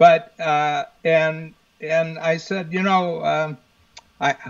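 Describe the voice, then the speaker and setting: A man with a Midwestern American accent speaks at a fairly high pitch. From US Midwest, northern Ohio. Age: 70s. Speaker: business coach. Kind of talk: interview conversation. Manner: frequent fillers and restarts.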